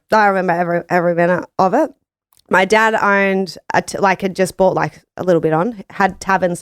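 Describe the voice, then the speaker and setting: Very clean with a silent background and a dry, close sound with no echo, the recording has a woman speaking at a very fast pace in a strong Australian accent, her medium pitch showing ordinary pitch variation. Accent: broad Australian. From Australia, Gold Coast, Queensland. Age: 30s. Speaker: business owner. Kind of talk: casual interview chat. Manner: loud, brash.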